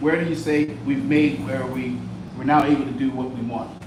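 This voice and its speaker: A fairly high-pitched male voice comes through audible room echo and noticeable background noise. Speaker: audience member asking questions. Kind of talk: Q&A questions. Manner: loud.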